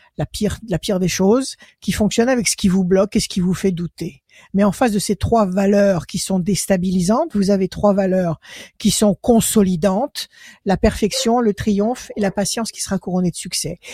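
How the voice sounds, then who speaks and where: A woman speaks at a moderate pace in a somewhat breathy voice with a dark, mellow tone. The sound is dry and close, with no echo. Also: medium pitch for a woman, ordinary pitch variation. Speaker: tarot reader. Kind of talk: phone-in tarot reading.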